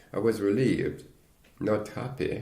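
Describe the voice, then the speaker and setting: This man has a dark, mellow tone and sounds somewhat breathy. His pitch variation is ordinary. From Caribbean. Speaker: retired engineer. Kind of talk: oral history interview answer.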